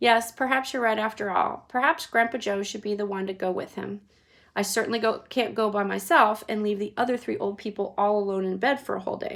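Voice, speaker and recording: A woman uses a put-on character voice that is raspy, medium in pitch and fairly even in intonation. She talks at a fairly quick pace. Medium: read story. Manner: sensible, caring.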